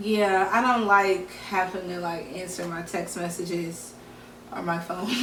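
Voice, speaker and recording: With noticeable background noise behind her, a woman speaks at a fairly slow pace with fairly even intonation and big swings in loudness. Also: medium pitch for a woman. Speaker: podcast co-host. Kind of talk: casual chat.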